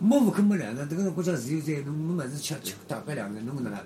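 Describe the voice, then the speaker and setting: Pitched fairly high, a man's voice rises and falls in very wide swings. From Shanghai (Yangpu district). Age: 70s. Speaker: retired amateur footballer and former dancer. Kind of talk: oral history interview. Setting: home room in an alley.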